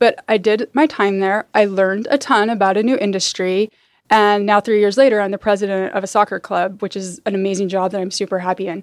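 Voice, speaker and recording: A woman's normal speaking voice with an American accent, medium pitch, fairly quick pace, and fairly even intonation, in a very clean recording with a silent background and a dry, close sound with no echo. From Utah, suburbs of Salt Lake. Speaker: sports club president. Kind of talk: interview.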